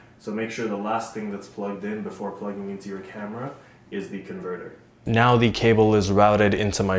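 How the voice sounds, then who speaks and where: With audible room echo, a man speaks at a fairly quick pace in a fairly low pitch, his intonation monotone and flat and his loudness swinging widely. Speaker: youtuber reviewing gear. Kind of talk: product review tutorial. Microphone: cheap lavalier mic clipped to shirt, may rustle.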